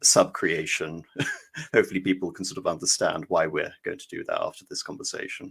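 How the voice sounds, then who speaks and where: A man with an English accent speaks at a fairly quick pace. His loudness swings widely. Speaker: podcast guest. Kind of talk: casual chat. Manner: halting.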